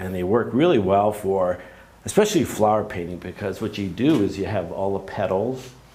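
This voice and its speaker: A man at fairly low pitch and moderate pace, with noticeable background noise and audible room echo. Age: 60s. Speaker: painter demonstrating in a workshop. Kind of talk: live painting demonstration. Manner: halting, with frequent fillers.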